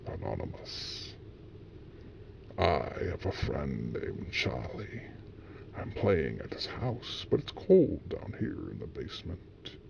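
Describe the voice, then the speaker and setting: With clear background noise behind him, a man does a put-on character voice at a fairly slow pace, leaving long, frequent pauses. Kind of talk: horror story narration. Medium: read story.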